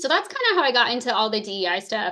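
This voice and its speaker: A woman speaks with a US Midwestern accent and lively intonation. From US Midwest, rural Missouri. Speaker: social worker and grief therapist. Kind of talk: interview conversation.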